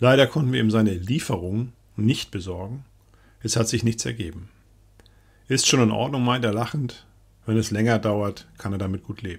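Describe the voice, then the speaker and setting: A somewhat breathy man at a medium pitch, moderate in pace with long, frequent pauses, on a very clean recording with a silent background. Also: ordinary pitch variation. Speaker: diary reader narrator. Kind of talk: reading aloud a wartime diary in first person. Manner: sober, measured, grave.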